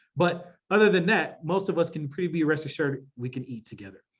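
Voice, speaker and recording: An animated man with a Midwestern accent talks at a fairly quick pace with lively intonation. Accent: Midwest. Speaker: workshop facilitator. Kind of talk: workshop presentation.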